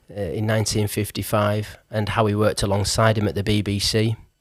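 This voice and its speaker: A plain, everyday voice is heard. The pace is fairly quick. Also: man. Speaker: podcast host. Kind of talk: podcast introduction.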